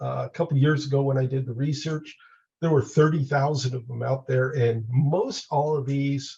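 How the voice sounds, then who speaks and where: A somewhat breathy man with a dark, mellow tone and fairly even intonation. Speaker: mountain rescuer and aircraft rescue trainer. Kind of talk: training webinar presentation. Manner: many filler uhs.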